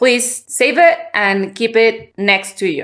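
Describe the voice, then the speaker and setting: On a very clean recording with a silent background, a woman with a Spanish accent speaks at a fairly slow pace in a fairly high pitch. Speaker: podcast host. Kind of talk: casual conversation. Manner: halting.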